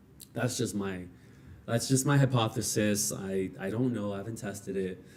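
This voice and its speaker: Speaking at a moderate pace, a man with a fairly low pitch shows ordinary pitch variation, and audible room echo surrounds his voice. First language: not English. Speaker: streamer building a service business. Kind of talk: livestream thinking aloud. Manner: halting, many repetitions.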